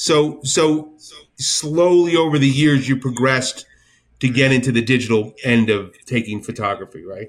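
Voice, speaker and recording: A man with an American accent has a normal speaking voice, speaking at a medium pitch and a moderate pace with ordinary pitch variation. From New Jersey. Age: 60s. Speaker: podcast host. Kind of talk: casual interview chat.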